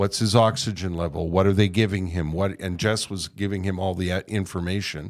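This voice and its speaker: In a Canadian accent, a man with a very deep, low pitch talks at a fairly quick pace with fairly even intonation and hardly any pauses, on a very clean recording with a silent background. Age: 60s. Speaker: podcast host, retired radio broadcaster. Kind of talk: casual chat. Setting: studio.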